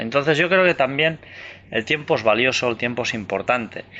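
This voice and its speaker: This man's voice is fairly high with some vocal fry. He talks at a fairly quick pace with lively intonation. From Andorra. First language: Catalan (speaking Spanish). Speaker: author and UFO researcher. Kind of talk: interview. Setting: outdoors in the mountains.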